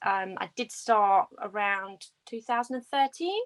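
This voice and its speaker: In a British accent, this voice has a bright, sharp tone at a moderate pace, with a dry, close sound and no echo. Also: woman. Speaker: reptile breeder. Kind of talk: casual chat.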